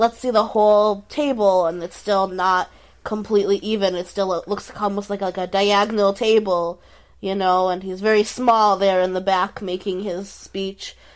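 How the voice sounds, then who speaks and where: The speaker has a normal speaking voice. The pace is moderate. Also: woman. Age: 20s. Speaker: comedian and podcast co-host. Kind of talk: casual chat.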